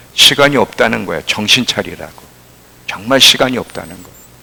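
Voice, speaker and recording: Noticeable background noise sits behind a man who talks fairly quickly at a medium pitch. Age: 60s. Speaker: pastor. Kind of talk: sermon.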